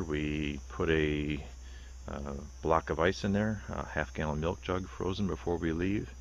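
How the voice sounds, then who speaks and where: A man speaks with a very deep, low pitch and ordinary pitch variation. The sound is dry with no echo, with light background noise. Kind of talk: product tour narration. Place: open country. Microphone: phone near.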